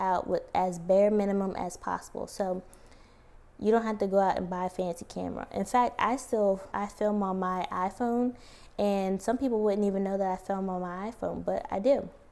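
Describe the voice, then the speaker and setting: This woman is soft-spoken, with a dark, mellow tone at medium pitch. Her intonation stays fairly even at a moderate pace. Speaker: plant YouTuber. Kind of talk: tutorial.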